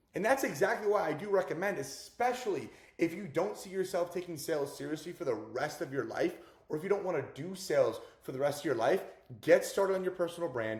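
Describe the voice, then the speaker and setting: A high-pitched man races along at a very fast pace with lively intonation and big swings in loudness. Noticeable background noise runs underneath. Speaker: self-improvement and sales coach vlogger. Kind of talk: motivational vlog monologue. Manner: casual slangy.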